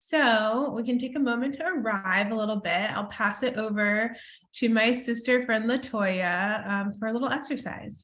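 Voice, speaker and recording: In a room with audible echo, a woman with an American accent speaks at a moderate pace, her fairly high pitch showing ordinary variation. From US Midwest, Chicago area. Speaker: sociologist and children's book author. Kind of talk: book launch presentation.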